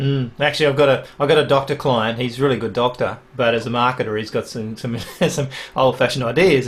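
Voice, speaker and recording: A man speaks with an Australian accent at a medium pitch. Noticeable background noise runs under the recording. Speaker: podcast host. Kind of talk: interview conversation.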